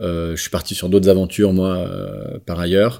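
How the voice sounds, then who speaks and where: Very deep and low, a man's voice carries a dark, mellow tone with fairly even intonation. The recording is very clean, with a silent background. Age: 40s. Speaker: social entrepreneur. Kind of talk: interview. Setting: on site at rural venue.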